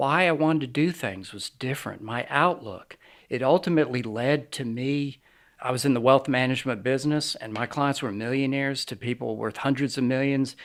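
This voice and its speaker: Medium in pitch, a man talks at a fairly quick pace with ordinary pitch variation. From New York City area. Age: 60s. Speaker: ministry founder, former wealth manager. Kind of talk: interview.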